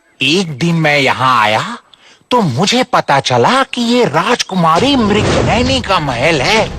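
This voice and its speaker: In a cartoonish character voice at a middle pitch, the speaker goes fairly slowly while the pitch swings very widely. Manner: sly, chatty.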